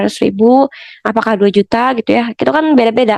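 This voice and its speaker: Talking at a very fast pace with ordinary pitch variation, a woman comes through in a dry, close sound with no echo. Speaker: podcast host teaching family topics. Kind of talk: educational talk. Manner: casual, with many fillers.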